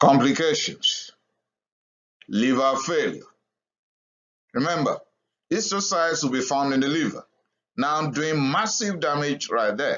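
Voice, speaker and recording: With lively intonation, a man in a fairly high pitch talks at a fairly slow pace, taking long, frequent pauses. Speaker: doctor giving medical lectures. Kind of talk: lecture.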